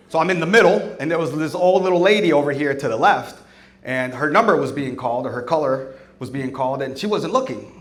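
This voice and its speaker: An American accent comes through with lively intonation at a fairly quick pace. Noticeable background noise runs underneath. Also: man. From South Florida, US. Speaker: stand-up comedian. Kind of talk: stand-up comedy set.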